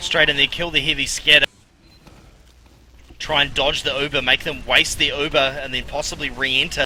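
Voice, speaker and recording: Pausing long and often at a moderate pace, a man with a fairly high pitch speaks over noticeable background noise. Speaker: esports caster. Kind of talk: live commentary. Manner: animated; loud.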